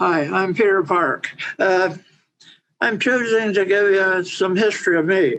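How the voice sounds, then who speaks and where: At a fairly slow pace, a man talks in a high voice. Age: 80s+. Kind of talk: personal talk at online event. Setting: online event. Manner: halting.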